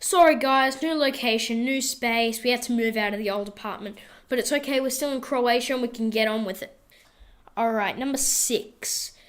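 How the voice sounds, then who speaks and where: On a very clean recording with a silent background, a woman with an Australian accent speaks in a high pitch at a moderate pace, her tone animated. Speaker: tarantula keeper and video blogger. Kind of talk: casual vlog. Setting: indoors while traveling abroad. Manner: casual, animated.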